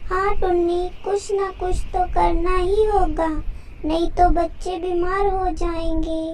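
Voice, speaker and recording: A woman performs a cartoonish character voice at a very slow pace, her loudness very even. Background noise is clearly present. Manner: gentle, earnest.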